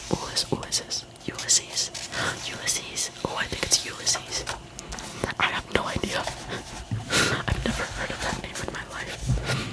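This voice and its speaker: Whispering at a fairly slow pace, a woman is heard over noticeable background noise. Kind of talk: casual chatty talk to camera between reading. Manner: whispered, soft-spoken.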